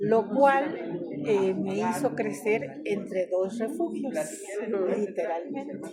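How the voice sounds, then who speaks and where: Her pitch swings very widely around a medium level as a woman speaks at a very slow pace with a warm tone. Noticeable background noise is present. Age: 80s+. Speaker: oral storyteller. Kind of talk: oral storytelling talk. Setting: library event with audience. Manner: warm, conversational.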